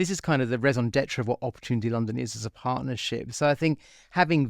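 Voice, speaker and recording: In a very clean recording with a silent background and a dry, close sound with no echo, a man talks very fast at a medium pitch with ordinary pitch variation. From Australia. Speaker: chief executive of an investment partnership. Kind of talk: podcast interview.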